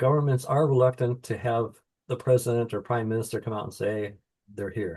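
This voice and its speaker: A man with an American accent speaks in a dark, mellow tone that is somewhat breathy. His pitch is medium, with ordinary variation. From United States. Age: 70s. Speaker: author. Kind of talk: interview.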